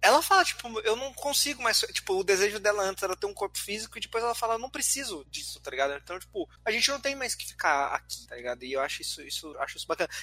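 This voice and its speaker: A man talks in a raised, projected voice at a high pitch, his pitch swinging very widely, at a very fast pace with hardly any pauses. Music plays in the background. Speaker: podcast host and editor. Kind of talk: casual chat. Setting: online call recorded via Discord.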